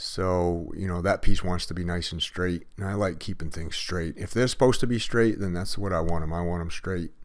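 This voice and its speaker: The delivery moves at a fairly quick pace. Its intonation is fairly even. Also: man, very deep, low pitch for a man. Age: 50s. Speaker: concrete contractor. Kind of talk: tutorial. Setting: outdoors.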